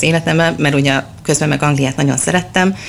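A woman talks at a very fast pace. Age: 30s. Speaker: children's book blogger and mother. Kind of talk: interview. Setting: bookshop.

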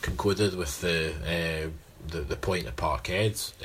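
Over noticeable background noise, a man talks in a Scottish accent. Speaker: football podcast co-host. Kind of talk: casual chat.

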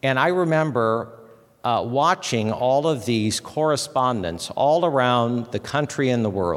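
In an American accent, a man speaks at a fairly slow pace and medium pitch with lively intonation and very even loudness, with audible room echo around him. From US Midwest, Fort Wayne, Indiana. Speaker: chapel speaker, former political press figure. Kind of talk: chapel talk. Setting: university chapel with audience. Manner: hesitant, many fillers.

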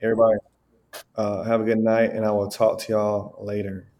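With a Southern US accent, the voice has a dark, mellow tone and monotone, flat intonation. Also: man. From US South, Alabama. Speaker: American expat in Brazil. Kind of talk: casual chat.

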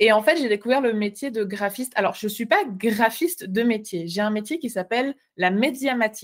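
Moderate pace and ordinary pitch variation, with a slight Swiss French accent. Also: woman, fairly high pitch for a woman. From Switzerland. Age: 20s. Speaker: entrepreneur, graphic designer. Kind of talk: interview.

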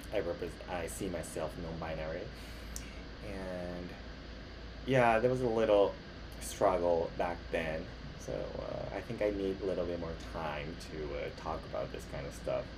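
Amid noticeable background noise and audible room echo, a man with a very deep, low pitch speaks at a very slow pace with lively intonation. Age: 30s. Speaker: podcast host, actor and model. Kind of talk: casual monologue. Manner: halting, self-correcting; laughs often.

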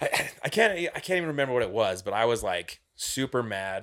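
A man's ordinary speaking voice, medium in pitch, at a fairly quick pace. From Utah, Cedar City. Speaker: guitarist in a band. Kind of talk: casual chat.

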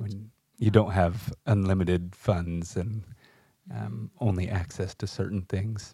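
A man talks at a fairly slow pace and fairly low pitch, with ordinary pitch variation. His tone is dark and mellow, and somewhat breathy. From US West Coast (San Luis Obispo, California). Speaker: podcast co-host. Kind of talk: casual chat.

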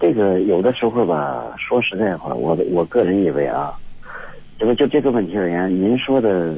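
There is noticeable background noise behind a man with a very deep, low voice. His pitch swings very widely. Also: moderate pace. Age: 50s. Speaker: retired factory worker, caller. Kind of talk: call-in advice conversation. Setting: phone call. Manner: halting, many fillers.

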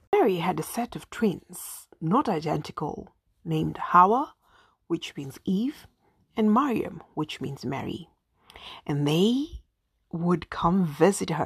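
Speaking very slowly with long, frequent pauses, a woman with an East African accent uses lively intonation in a somewhat breathy, fairly low voice, captured in a very clean recording with a silent background. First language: Swahili. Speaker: podcast host. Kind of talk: personal storytelling monologue.

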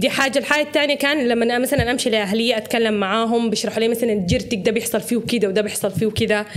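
Fairly quick and fairly high-pitched, a woman talks with ordinary pitch variation in an ordinary speaking voice. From Sudan. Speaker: social media personality. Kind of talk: casual chat.

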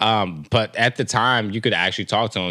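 The man's tone is bright and sharp. The background is silent in a very clean recording. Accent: American. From Texas. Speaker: podcast co-host. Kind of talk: casual chat. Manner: relaxed, filler-heavy.

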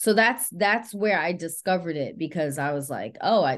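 A woman with an American accent and a plain, everyday voice talks at a fairly quick pace against a quiet background. Her pitch is fairly low, with ordinary pitch variation. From New York City, the Bronx. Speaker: actress and author. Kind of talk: interview.

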